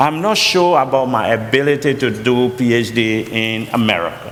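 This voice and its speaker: A man with a medium pitch talks at a fairly slow pace with lively intonation, over noticeable background noise and audible room echo. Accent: strong Liberian. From Liberia. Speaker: college president and pastor. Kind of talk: interview testimony.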